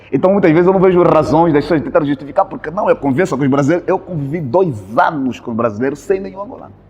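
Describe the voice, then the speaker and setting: A man's fairly high voice, very fast with hardly any pauses and lively intonation, over noticeable background noise. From Angola. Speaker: Angolan immigrant in Brazil, video creator. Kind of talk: casual interview conversation. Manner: halting, repeats words.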